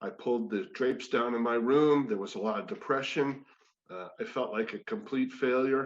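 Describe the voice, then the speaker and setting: A man with an unremarkable speaking voice talks at a moderate pace, his medium pitch showing ordinary variation. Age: 60s. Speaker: former sportscaster and wellness speaker. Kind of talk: personal testimony talk. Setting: spiritual community service.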